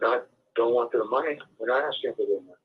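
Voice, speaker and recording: A man at a very fast pace. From Czech Republic. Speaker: project founder, former banker. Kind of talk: interview.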